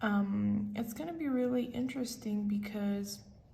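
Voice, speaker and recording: Audible room echo surrounds the voice. The speaker is a woman. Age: 20s. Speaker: tarot reader. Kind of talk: tarot reading. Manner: casual, filler-heavy.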